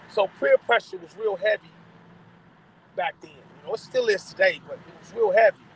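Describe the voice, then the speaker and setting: A man speaks at a moderate pace, with long, frequent pauses and big swings in loudness. The sound is dry with no echo, over light background noise. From Los Angeles, Watts; Los Angeles. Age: 50s. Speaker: former gang member; interview guest. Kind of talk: interview. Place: car. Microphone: phone near.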